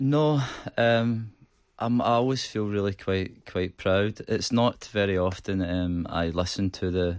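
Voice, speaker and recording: On a very clean recording with a silent background, a man with a Glaswegian accent speaks at a fairly slow pace in a fairly low voice with fairly even intonation. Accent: Glaswegian Scottish. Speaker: rock band singer. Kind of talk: radio interview. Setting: radio studio. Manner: hesitant, many fillers and repetitions.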